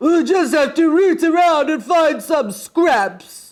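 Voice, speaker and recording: A gruff, put-on character voice at a fairly slow pace. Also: woman, extremely high pitch for a woman. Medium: read story. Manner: bossy, gruff.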